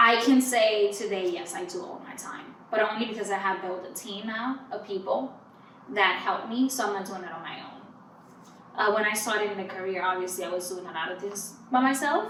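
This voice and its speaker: A woman with a Spanish accent talks at a fairly quick pace and medium pitch, with ordinary pitch variation and big swings in loudness, amid audible room echo and noticeable background noise. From Dominican Republic. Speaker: PR firm owner and entrepreneur. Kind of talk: podcast interview.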